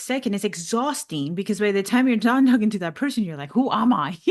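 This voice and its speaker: Speech comes at a fairly quick pace with a Venezuelan accent. The intonation is lively. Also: woman, hardly any pauses. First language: Spanish. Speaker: life coach and podcast host. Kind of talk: casual interview chat. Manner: laughs often.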